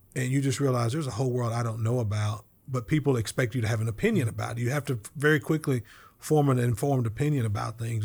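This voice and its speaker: A man with an American accent talks at a very fast pace in a somewhat breathy voice of medium pitch, his intonation fairly even, on a very clean recording with a silent background. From Oklahoma (Oklahoma City, Lawton). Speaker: bank executive and former state House speaker. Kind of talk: interview. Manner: hesitant with repetitions.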